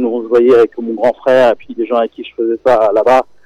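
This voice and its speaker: The recording of a man's voice is dry and close, with no echo. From Senegal. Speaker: documentary filmmaker. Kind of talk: radio interview. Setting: phone call. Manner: halting, many repetitions.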